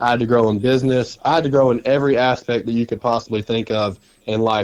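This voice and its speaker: A man with an Alabama accent talks at a fairly quick pace in a medium pitch. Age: 20s. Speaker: loan officer, recovered addict. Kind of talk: testimony.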